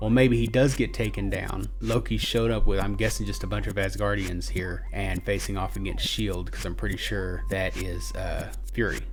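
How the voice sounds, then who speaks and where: A man talks at a moderate pace with hardly any pauses while music plays in the background. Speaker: YouTube reaction channel host. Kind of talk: video reaction commentary. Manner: halting.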